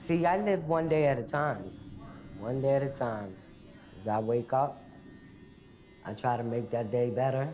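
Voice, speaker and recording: Amid audible room echo, a woman with a very deep, low pitch talks at a fairly slow pace with lively intonation and long, frequent pauses. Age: 60s. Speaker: incarcerated woman serving life. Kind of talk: testimony.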